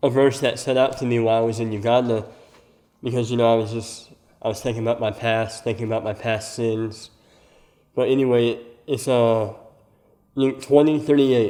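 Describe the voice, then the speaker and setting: A man with an American accent speaks in a dark, mellow tone at a medium pitch and moderate pace. His intonation is monotone and flat, with long, frequent pauses. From US South, Alabama. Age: 20s. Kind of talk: testimony.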